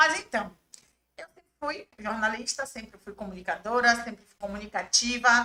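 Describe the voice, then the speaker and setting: Her pitch shifts in an ordinary way. The woman talks fairly slowly. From Bahia, Brazil (raised in Salvador). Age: 30s. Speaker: journalist and press officer. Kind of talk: podcast interview.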